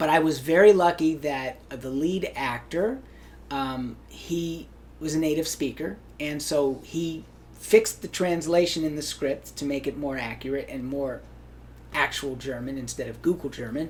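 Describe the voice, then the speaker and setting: This man has a plain, everyday voice with an American accent, set at a fairly high pitch. He speaks at a moderate pace with ordinary pitch variation. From Hawaii. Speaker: actor. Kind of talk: interview.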